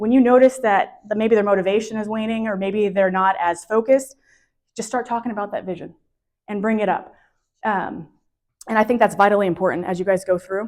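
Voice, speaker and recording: At a fairly quick pace, a woman speaks with a fairly high pitch and fairly even intonation. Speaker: professional organizer. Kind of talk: workshop presentation. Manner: fast.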